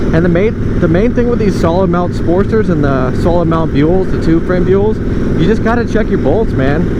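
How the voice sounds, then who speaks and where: A high-voiced man with lively intonation, amid audible room echo and noticeable background noise. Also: moderate pace, very even loudness. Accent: American. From United States. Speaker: motorcycle builder and vlogger. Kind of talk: casual vlog while riding. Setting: outdoors on a motorcycle. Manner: animated.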